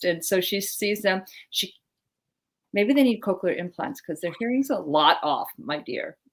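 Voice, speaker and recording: Here is a plain, everyday voice from a woman, pitched fairly high. She keeps a moderate pace and lively intonation. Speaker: general surgeon, talk show co-host. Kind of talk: casual medical talk show chat. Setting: live video talk show.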